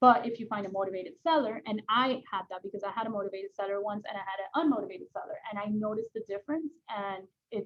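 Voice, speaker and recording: Speaking very fast with hardly any pauses, a woman uses a fairly high pitch and ordinary pitch variation. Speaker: real estate agent trainer. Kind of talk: training session. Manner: casual, lots of fillers.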